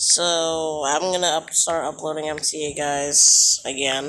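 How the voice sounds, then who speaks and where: A quiet man talks in a bright, sharp tone at a high pitch. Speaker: YouTuber building transit maps in a game. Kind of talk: gameplay tutorial commentary. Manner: quiet, hushed; halting, many fillers.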